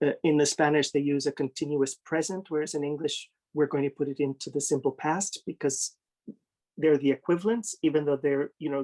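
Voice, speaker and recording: A man's fairly high-pitched voice with a dark, mellow tone, an American accent, and fairly even intonation, in a dry, close sound with no echo. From United States. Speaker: literary translator. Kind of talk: interview conversation. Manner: hesitant, many fillers.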